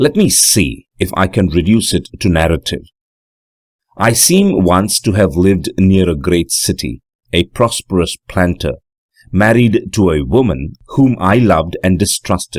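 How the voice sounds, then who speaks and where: In a dry, close sound with no echo, a man with a very deep, low pitch and vocal fry speaks at a fairly slow pace with lively intonation and very even loudness. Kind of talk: audiobook narration of a classic horror story.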